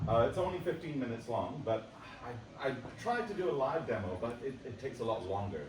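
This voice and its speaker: Over noticeable background noise and audible room echo, a man at medium pitch talks at a fairly quick pace with very wide pitch swings. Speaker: software developer presenting a product. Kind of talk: conference demo presentation. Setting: stage with audience at a conference.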